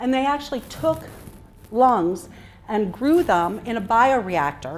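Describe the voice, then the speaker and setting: A woman's fairly high-pitched voice with audible room echo. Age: 40s. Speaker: physician and speaker. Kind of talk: talk to a live audience. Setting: stage with audience.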